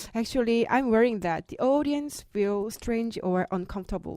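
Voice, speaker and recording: A woman with a Korean accent speaks at a fairly slow pace in a dark, mellow tone with lively intonation, on a very clean recording with a silent background. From South Korea. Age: middle-aged. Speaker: podcast guest, meditator. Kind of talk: casual podcast chat. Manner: halting.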